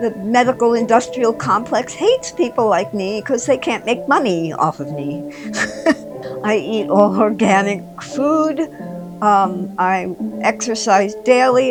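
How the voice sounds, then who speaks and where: A woman at a fairly slow pace with very wide pitch swings, music playing behind her. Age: 70s. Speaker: yoga contortionist. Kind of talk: interview answer.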